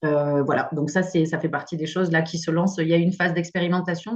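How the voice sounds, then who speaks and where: Fairly even intonation carries this fairly quick delivery. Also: woman. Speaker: expert speaker on noise pollution. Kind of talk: webinar presentation. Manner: fast.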